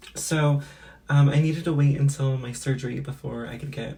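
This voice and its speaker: A woman speaks at a moderate pace with a very deep, low pitch and a dark, mellow tone. Her voice is somewhat breathy, her intonation monotone and flat. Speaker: beauty and lifestyle vlogger. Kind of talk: casual vlog talk to camera. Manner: casual with many fillers.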